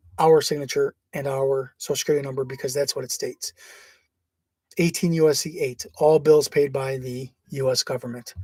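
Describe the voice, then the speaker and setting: A man is speaking. His voice is somewhat breathy. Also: dry, close sound with no echo. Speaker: online legal-theory presenter. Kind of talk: informal video talk. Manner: fast; casual, hesitant.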